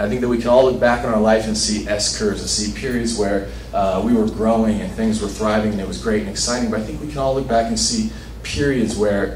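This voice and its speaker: Against light background noise and audible room echo, a man with an American accent talks at a fairly quick pace. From Los Angeles, south side. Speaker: conference speaker. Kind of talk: short talk to audience.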